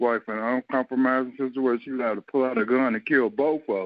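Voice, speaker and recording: Speaking with a rural Southern US accent, a man at medium pitch keeps his intonation fairly even. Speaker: show panelist. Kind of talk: casual chat.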